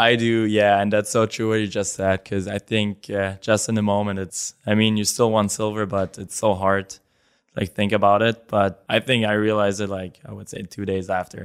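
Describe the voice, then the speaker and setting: A man's fairly low voice in a German accent, flat and monotone, at a moderate pace, with a dry, close sound, no echo, and a very clean, silent background. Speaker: professional hockey player. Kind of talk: interview.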